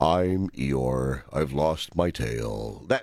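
A man in a put-on character voice with a very deep, low pitch. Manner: slow, mournful, droopy.

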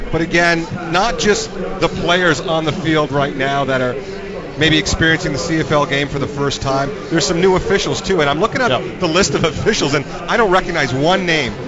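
A man speaks at a fairly quick pace with ordinary pitch variation. His pitch is fairly high, and background noise is noticeable. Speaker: former football player turned radio analyst. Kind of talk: live color commentary, analyzing plays as a former player. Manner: animated, wordy, stacking verbs (analyzing, overanalyzing, scrutinizing).

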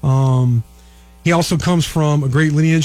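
A man talks at a moderate pace in a fairly high, somewhat breathy voice. His intonation stays fairly even. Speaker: sports analyst and recruiting reporter. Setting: radio studio.

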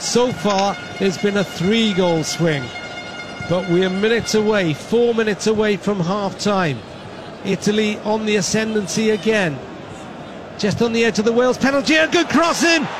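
A man with a high pitch talks at a moderate pace with lively intonation and very even loudness. Noticeable background noise sits behind him. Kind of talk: live radio match commentary, play-by-play.

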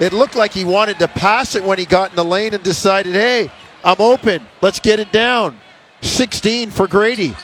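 Noticeable background noise behind a man with a high pitch and ordinary pitch variation. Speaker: radio play-by-play announcer. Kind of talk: rapid-fire basketball play-by-play, calling each pass, drive and shot live. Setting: radio broadcast booth.

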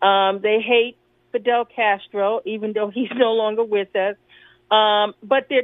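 In a New York accent, a woman talks at a fairly high pitch. Her intonation stays fairly even. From New York City. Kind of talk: radio discussion.

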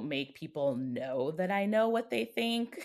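At a moderate pace, a woman talks with a very deep, low pitch. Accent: American. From Chicago, South Side (Beverly). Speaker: interview guest. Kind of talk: casual chat.

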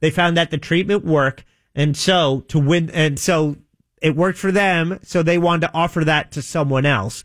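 Over a very clean recording with a silent background, a man with a normal speaking voice and fairly high pitch talks at a moderate pace, keeping his loudness very even and his pitch variation ordinary. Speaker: radio co-host. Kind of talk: casual banter.

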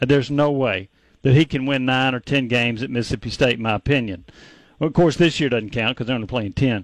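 On a very clean recording with a silent background and a dry, close sound free of echo, a man talks at a very fast pace. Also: medium pitch for a man, ordinary pitch variation. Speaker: sports radio co-host. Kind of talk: radio sports talk.

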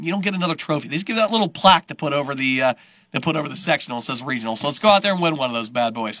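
A man talks at a very fast pace with lively intonation and a fairly high pitch. His tone is bright and sharp, and the sound is dry and close with no echo. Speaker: radio sports host. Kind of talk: interview-style sports radio podcast.

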